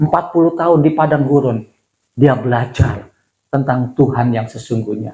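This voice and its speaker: A man speaks at a moderate pace in a medium pitch, his voice somewhat breathy, with ordinary pitch variation. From Indonesia, Bandung and Jakarta. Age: 60s. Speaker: pastor. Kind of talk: sermon. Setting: church. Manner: conversational, with fillers and self-corrections.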